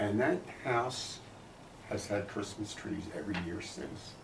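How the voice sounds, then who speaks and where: With an American accent, the speaker talks at a fairly slow pace amid noticeable background noise and audible room echo. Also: man. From US Northeast, Philadelphia. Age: 70s. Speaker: grandfather telling family history. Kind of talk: storytelling and interview answers.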